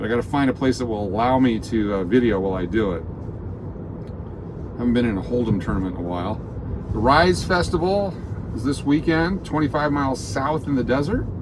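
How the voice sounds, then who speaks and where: With very wide pitch swings, a man talks at a fairly quick pace over noticeable background noise. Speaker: live-stream host driving. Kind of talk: casual live-stream chat. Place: car. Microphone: phone near.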